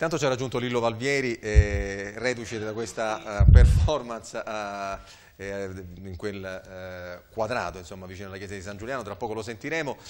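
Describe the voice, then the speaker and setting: With a normal speaking voice, a man talks at a moderate pace with hardly any pauses, his fairly low pitch varying in an ordinary way and his loudness swinging widely, over light background noise. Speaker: TV talk show host. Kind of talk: studio panel discussion. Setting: TV studio. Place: studio.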